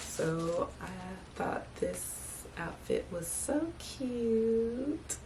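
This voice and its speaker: A woman speaks at a very slow pace amid audible room echo and noticeable background noise. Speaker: vlogger. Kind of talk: casual vlog talk to camera. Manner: animated.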